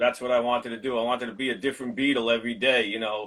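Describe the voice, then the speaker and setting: A man's medium-pitched voice with a New York accent. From Brooklyn, New York. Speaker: drummer. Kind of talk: interview.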